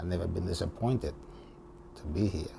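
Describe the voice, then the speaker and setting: With an Italian accent, a man speaks in a very deep, low voice. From Italy. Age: 70s. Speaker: retired barber, immigrant. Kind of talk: interview. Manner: warm; halting.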